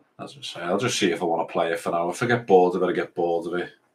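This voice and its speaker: Fairly quick delivery from a man with a very deep, low pitch. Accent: English. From England. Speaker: gaming streamer. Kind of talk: live gameplay commentary. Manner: casual, rambling.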